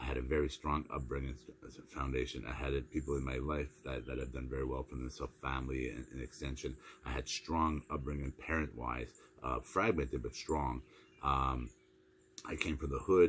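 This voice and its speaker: A man talks with a very deep, low pitch and vocal fry. His intonation stays fairly even. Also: fairly quick pace. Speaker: motivational speaker. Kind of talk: motivational monologue. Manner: fast; repetitive stammering restarts.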